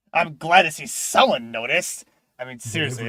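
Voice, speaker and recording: A man speaks at a fairly quick pace in a put-on character voice. His pitch sits fairly high, and his intonation is lively. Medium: audio drama. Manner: casual, cocky.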